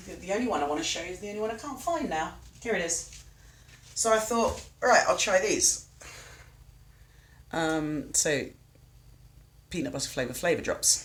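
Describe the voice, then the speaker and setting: With long, frequent pauses and audible room echo, a woman speaks at a moderate pace in a fairly high pitch, her pitch swinging very widely and her loudness shifting in big swings. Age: 40s. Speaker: cooking streamer. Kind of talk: live stream cooking chat. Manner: casual, chatty.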